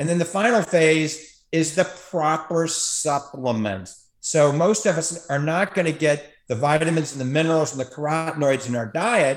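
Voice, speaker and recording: A man with an ordinary speaking voice and an American accent talks at a moderate pace and a fairly high pitch, with ordinary pitch variation and hardly any pauses. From US South, New Orleans. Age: 60s. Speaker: optometrist and radio host. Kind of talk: interview.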